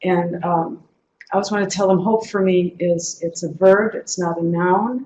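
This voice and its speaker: Using a plain, everyday voice, a woman speaks at a medium pitch and moderate pace with fairly even intonation. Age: 60s. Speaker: activist speaker. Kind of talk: lecture.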